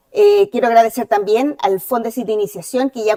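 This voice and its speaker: A woman with a Chilean accent speaks at a moderate pace in a dark, mellow tone. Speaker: dentist and associate professor. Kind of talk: lecture. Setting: auditorium with audience.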